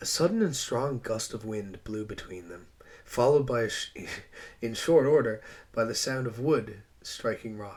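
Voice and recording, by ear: Someone is reading aloud. It is done in a natural voice.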